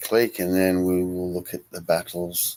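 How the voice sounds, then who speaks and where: A soft-spoken man talks at a moderate pace. His pitch is very deep and low. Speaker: wargaming hobby youtuber. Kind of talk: casual vlog update. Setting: garden shed. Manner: hesitant, many fillers.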